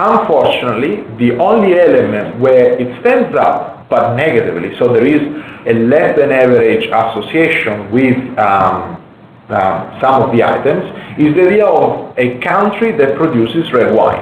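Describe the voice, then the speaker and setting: A man's medium-pitched voice with a non-native accent, very wide pitch swings, very even loudness and a moderate pace, amid noticeable background noise and audible room echo. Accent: foreign. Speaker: wine market researcher. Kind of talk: webinar presentation. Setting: online webinar. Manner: halting, repeats words.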